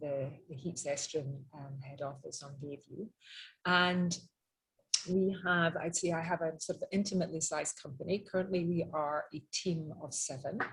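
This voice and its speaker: In a Scottish accent, a woman speaks at a moderate pace with a fairly low, somewhat breathy voice. Her intonation stays fairly even. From Scotland, Edinburgh. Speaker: interior designer. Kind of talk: webinar presentation. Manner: many filler ums.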